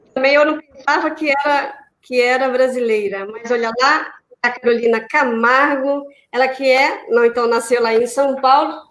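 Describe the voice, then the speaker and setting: This woman has a Brazilian accent and a high pitch. She speaks at a moderate pace with ordinary pitch variation. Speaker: radio host. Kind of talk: casual chat.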